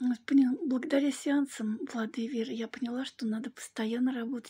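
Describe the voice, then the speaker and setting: A woman speaks at a fairly slow pace in a high, dark, mellow voice. Her intonation is flat and monotone against a quiet background. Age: 60s. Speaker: client giving a testimonial. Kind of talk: testimony. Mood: warm, grateful. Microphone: phone near.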